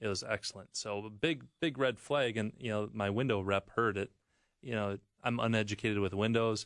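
A man with an American accent talks at a moderate pace and a fairly low pitch, with ordinary pitch variation. He has a plain, everyday voice, and the background is quiet. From Wisconsin. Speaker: roofing shingle manufacturer rep. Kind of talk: radio talk, product explanation.

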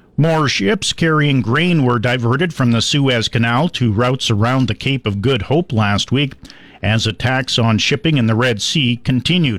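Recorded very cleanly against a silent background, a man with an unremarkable speaking voice talks at a moderate pace and medium pitch, keeping his loudness very even and his pitch variation ordinary. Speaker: ag news reader. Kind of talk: news reading.

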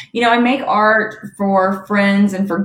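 With an American accent, a woman speaks in an ordinary speaking voice at medium pitch with fairly even intonation. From US South, Alabama. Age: 30s. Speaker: executive coach and author. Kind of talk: podcast interview.

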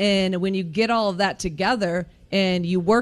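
The speaker is a woman with an unremarkable speaking voice. She has a medium pitch and keeps a moderate pace. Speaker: women's basketball head coach. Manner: earnest, conversational with filler words.

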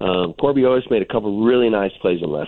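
This man has an ordinary speaking voice of a normal kind, a normal speaking voice, pitched fairly low. He talks at a fairly quick pace with lively intonation. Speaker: college softball coach. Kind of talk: radio interview.

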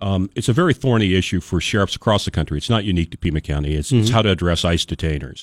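The man's pitch is very deep and low. He talks at a very fast pace with hardly any pauses. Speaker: sheriff. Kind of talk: radio interview. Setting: studio.

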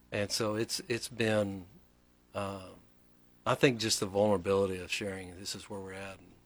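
A man with a Southern US accent, fairly low-pitched and monotone, at a moderate pace with long, frequent pauses and big swings in loudness, on a very clean recording with a silent background. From Texas. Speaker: pastor. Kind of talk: casual interview chat. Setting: studio.

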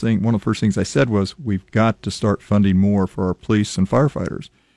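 A man with a Midwestern American accent speaks at a fairly low pitch with ordinary pitch variation. The sound is dry and close with no echo, and the background is quiet. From US Midwest, Lincoln, Nebraska. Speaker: former city council member. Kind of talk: radio interview. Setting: radio studio.

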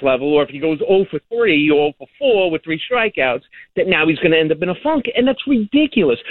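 A man with a New York accent speaks high-pitched and at a fairly quick pace, his pitch swinging very widely. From Long Island, New York. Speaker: caller. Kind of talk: phone-in call.

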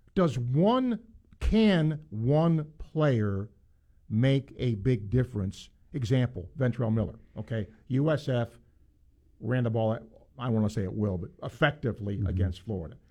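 Speaking at a fairly slow pace with long, frequent pauses, a man with a medium pitch has a dark, mellow, somewhat breathy tone and lively intonation. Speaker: sports radio host. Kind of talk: sports talk radio. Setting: studio.

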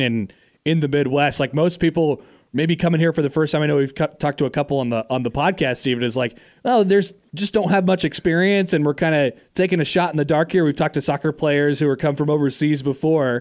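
A man with a normal speaking voice and a fairly high pitch talks at a fairly quick pace and very even loudness on a very clean recording with a silent background. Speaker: podcast co-host interviewer. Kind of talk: interview.

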